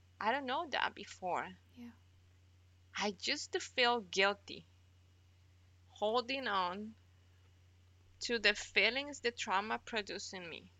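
A woman with a Spanish accent speaks at a very slow pace with long, frequent pauses, her fairly high voice using ordinary pitch variation amid big swings in loudness. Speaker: NICU mother. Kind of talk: personal testimony.

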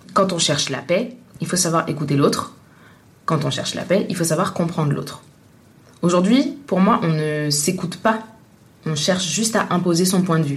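In a room with audible echo, a woman speaks at a moderate pace in a fairly low pitch with ordinary pitch variation and long, frequent pauses. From Tunisia. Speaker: journalist. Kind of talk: interview. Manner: hesitant, many fillers.

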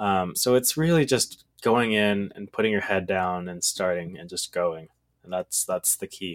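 With an American accent, an unremarkable speaking voice moves at a fairly slow pace with ordinary pitch variation. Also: man, fairly low pitch for a man. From Texas. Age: 20s. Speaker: e-commerce entrepreneur. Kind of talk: casual interview.

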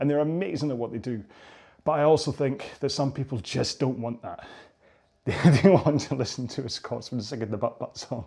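A man with a fairly high pitch talks at a fairly quick pace, somewhat breathy, with a dark, mellow tone. His pitch varies in an ordinary way, and the recording is very clean with a silent background. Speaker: rowing coach. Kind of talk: workout instruction. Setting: on a rowing machine. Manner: fast.

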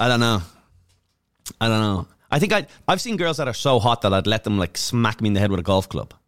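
In an Irish accent, a man at medium pitch talks at a very fast pace yet leaves long, frequent pauses, with a dry, close sound and no echo. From Ireland, Dublin. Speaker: comedian. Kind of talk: casual chat. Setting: studio.

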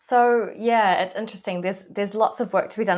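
This woman speaks with a New Zealand accent and ordinary pitch variation. The recording is very clean, with a silent background. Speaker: career coach. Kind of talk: interview.

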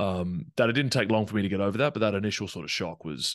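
A man with an Australian accent at a very fast pace against a quiet background. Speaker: professional rugby player. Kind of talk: casual interview.

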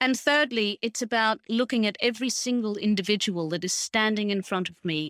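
Speaking with an Australian accent, a woman of medium pitch keeps a moderate pace and ordinary pitch variation. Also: very clean recording, silent background. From rural Queensland, Australia. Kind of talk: interview.

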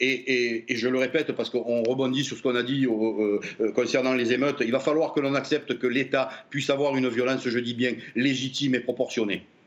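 A man talks at a fairly quick pace. His loudness stays very even. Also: medium pitch for a man. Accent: Marseille. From Marseille, southern France. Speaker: former police officer. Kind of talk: televised debate. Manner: animated.

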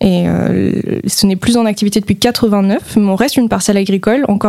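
Noticeable background noise sits behind a woman at a medium pitch. She speaks at a moderate pace with ordinary pitch variation. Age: 20s. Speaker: museum manager. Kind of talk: radio interview. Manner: hesitant with many fillers.

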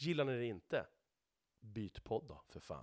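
A man speaks with very wide swings in pitch. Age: 30s. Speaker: podcast host, truck driver. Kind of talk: solo monologue podcast. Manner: repeats words, stumbles.

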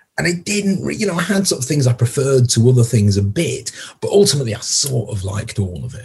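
A man with a Yorkshire accent speaks at a fairly quick pace in a medium pitch, with very wide pitch swings. His tone is dark and mellow, and somewhat breathy. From Yorkshire, northern England. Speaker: music critic. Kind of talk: casual chat.

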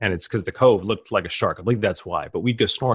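A man with an American accent speaks in a somewhat breathy voice with ordinary pitch variation against a quiet background. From grew up on US Army bases in the US and Germany. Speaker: futurist and graduate school professor. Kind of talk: podcast interview.

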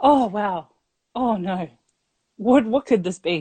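Speaking very slowly, a woman with an Australian accent uses lively intonation. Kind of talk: storytelling.

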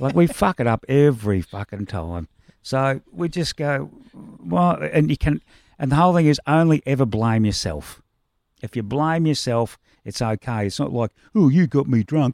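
A man with an Australian accent speaks at medium pitch with very wide pitch swings, in a very clean recording with a silent background and a dry, close sound with no echo. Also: moderate pace. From Australia, Melbourne. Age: 60s. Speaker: punk rock musician. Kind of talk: casual chat.

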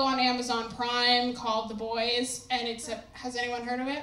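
Over noticeable background noise, a woman speaks in a raised, projected voice at a high pitch. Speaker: stand-up comedian. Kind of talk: stand-up comedy set. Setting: stage with audience. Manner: profane, sassy, self-mocking.

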